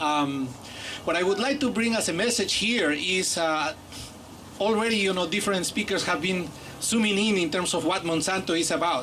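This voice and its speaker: With a Bolivian accent, a man speaks at a high pitch and very even loudness, with noticeable background noise and audible room echo. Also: ordinary pitch variation, moderate pace. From Peru. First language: Aymara. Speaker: professor. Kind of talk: public speech.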